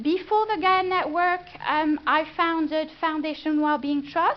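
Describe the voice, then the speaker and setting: This woman has a French accent and a high pitch. She talks at a fairly slow pace. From France. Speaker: business consultant. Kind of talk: presentation. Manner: hesitant, many fillers.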